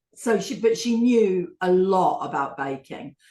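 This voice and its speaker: Speaking at a fairly slow pace with a slight London accent, the voice carries lively intonation. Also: woman. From England. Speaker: baking competition contestant. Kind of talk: casual interview chat.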